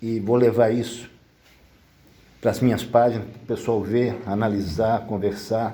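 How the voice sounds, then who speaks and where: A man's dark, mellow tone comes at a moderate pace. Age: 70s. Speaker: social project volunteer. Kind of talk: community meeting remarks.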